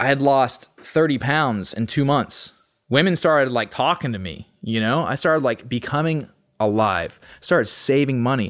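A man with an American accent has an ordinary speaking voice at a medium pitch with ordinary pitch variation. He talks at a moderate pace on a very clean recording with a silent background. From Austin, Texas. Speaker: recovering addict. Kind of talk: casual chat.

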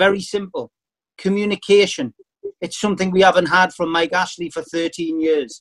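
A man with a Geordie accent speaks at a high pitch and a moderate pace with ordinary pitch variation. The sound is dry and close with no echo. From northern England, Newcastle. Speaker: football fan representative. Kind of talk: speech at online town hall. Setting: video call.

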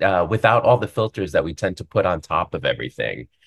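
A somewhat breathy man's voice against a quiet background. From US Northeast, New York City. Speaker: Broadway actor. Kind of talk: casual interview. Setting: video call.

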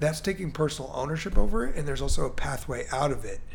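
A man speaks at a fairly quick pace with an American accent. Audible room echo can be heard. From US Midwest/Mid-Atlantic (Chicago, Baltimore). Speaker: entrepreneur. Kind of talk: casual interview.

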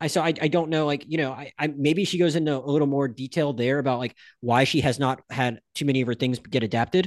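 Very fast and with hardly any pauses, a man speaks at a fairly high pitch with ordinary pitch variation. The background is quiet, and the sound is dry and close with no echo. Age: 30s. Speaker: film podcast host. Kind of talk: casual chat. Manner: halting, many fillers and restarts.

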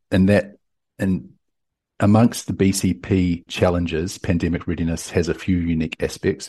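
Against a quiet background, a man with a New Zealand accent speaks at a moderate pace in a very deep, low, dark and mellow voice with fairly even intonation. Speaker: tech company CEO. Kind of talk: interview. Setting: remote call.

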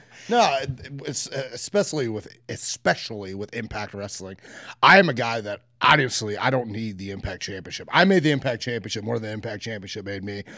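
A man with a medium-pitched, bright and sharp voice talks at a fairly quick pace, his pitch varying in an ordinary way while his loudness swings widely. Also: very clean recording, silent background. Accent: American. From US Midwest, Logan County, Ohio. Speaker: pro wrestler. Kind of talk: interview. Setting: in person at wrestling tapings.

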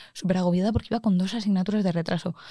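This woman's somewhat breathy voice is medium in pitch, with a dark, mellow tone. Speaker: engineering student. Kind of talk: casual chat.

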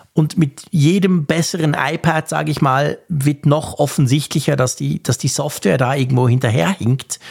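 Hardly any pauses break this man's moderate pace. His voice is fairly high, with vocal fry and ordinary pitch variation. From Switzerland. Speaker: podcast host. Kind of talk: casual chat.

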